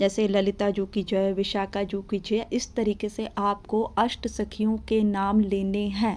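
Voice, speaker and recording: Speaking with hardly any pauses, a woman keeps a medium pitch and a flat, monotone intonation. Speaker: devotional teacher. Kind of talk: tutorial. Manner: repetitive, instructive. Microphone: no microphone, voice may be faint.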